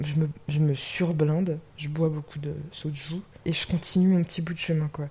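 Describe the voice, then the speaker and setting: Somewhat breathy and dark, mellow in tone, a woman speaks very deep and low at a fairly slow pace with monotone, flat intonation. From western France. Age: 20s. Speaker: podcast guest. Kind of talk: casual chat. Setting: indoors, drinking champagne.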